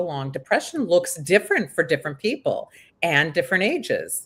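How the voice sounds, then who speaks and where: At a fairly quick pace comes an ordinary speaking voice, on a very clean recording with a silent background. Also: woman. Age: 50s. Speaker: aging expert. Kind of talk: casual chat.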